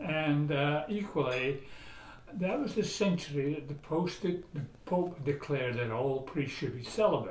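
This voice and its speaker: Audible room echo surrounds a man who speaks at a moderate pace in a fairly high voice with lively intonation. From Scotland, Aberdeen. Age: 80s+. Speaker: author and traveler. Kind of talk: casual interview.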